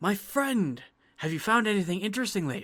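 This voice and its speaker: Put-on character voice at a middle pitch and a fairly quick pace. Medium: actual play. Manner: curious, friendly.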